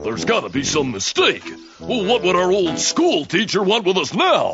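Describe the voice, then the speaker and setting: A man's cartoonish character voice, high-pitched and at a moderate pace, over faint music in the background. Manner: dry, casual.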